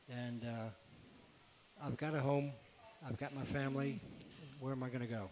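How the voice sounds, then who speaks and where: With long, frequent pauses, a man speaks at a moderate pace and a medium pitch with fairly even intonation over noticeable background noise. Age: 70s. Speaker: retired racing mechanic. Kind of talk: radio interview. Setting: live radio show at a beach bar.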